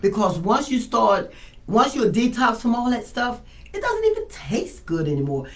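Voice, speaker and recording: A woman talks at a moderate pace in a high voice with very wide pitch swings. Noticeable background noise and audible room echo fill the recording. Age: 60s. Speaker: wellness patient sharing her story. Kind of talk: testimony.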